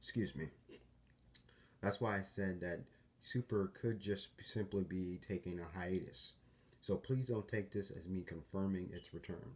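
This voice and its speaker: A man with a fairly low, somewhat breathy voice talks at a fairly slow pace with ordinary pitch variation and long, frequent pauses. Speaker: YouTuber. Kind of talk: casual talk to camera. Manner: hesitant, with stutters and pauses.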